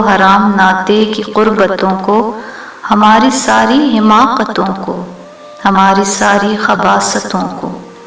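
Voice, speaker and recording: A woman speaks at a medium pitch in a flat monotone. Music plays in the background. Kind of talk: poetry reading.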